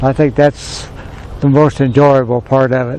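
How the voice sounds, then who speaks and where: A man talks at a moderate pace, his intonation fairly even and his pitch medium. Noticeable background noise is heard throughout. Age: 70s. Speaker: sawmill operator. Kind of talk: casual interview talk.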